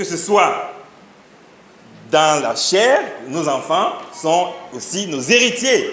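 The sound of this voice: Under strong room echo, a man talks slowly at a fairly high pitch, with a fairly bright tone and big pitch swings.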